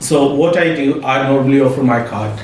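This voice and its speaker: Amid noticeable background noise and audible room echo, a man with a fairly high pitch talks at a moderate pace with ordinary pitch variation. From Pakistan. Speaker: business owner. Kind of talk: interview. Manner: halting, with many fillers.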